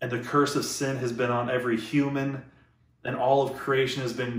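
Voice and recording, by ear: Someone is reading aloud in a natural voice here.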